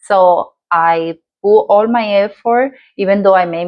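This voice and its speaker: With a Dominican accent, a woman speaks with ordinary pitch variation. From Dominican Republic. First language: Spanish. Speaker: lifestyle vlogger. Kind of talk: personal story vlog. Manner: halting, with fillers.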